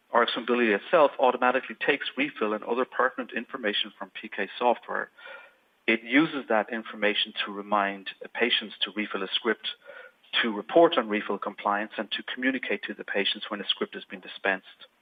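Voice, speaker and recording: A man with an Irish accent talks at a very fast pace, his pitch sitting in the middle range. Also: ordinary pitch variation, big swings in loudness. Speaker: software company presenter. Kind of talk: webinar product presentation. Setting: online webinar. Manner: hesitant, with fillers.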